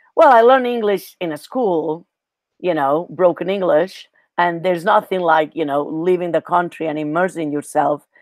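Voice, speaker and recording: In a very clean recording with a silent background, a woman talks at a moderate pace. Her pitch is fairly low, with ordinary pitch variation. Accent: Catalan. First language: Catalan. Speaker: Spanish teacher. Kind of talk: interview.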